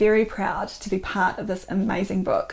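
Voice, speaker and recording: A woman at medium pitch talks at a moderate pace in a New Zealand accent, her intonation monotone and flat. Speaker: doctor and author. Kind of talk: book promotion talk.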